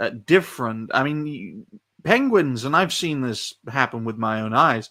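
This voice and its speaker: With a British accent, a man talks at a fairly slow pace in a medium pitch. His tone is bright and sharp, and his intonation is lively. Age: 20s. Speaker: podcast guest. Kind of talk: casual chat.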